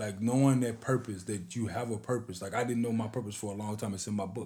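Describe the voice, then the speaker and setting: With a dark, mellow tone and a somewhat breathy quality, a man talks at medium pitch with fairly even intonation. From Oklahoma (Hugo). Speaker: youth motivational speaker. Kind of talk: interview.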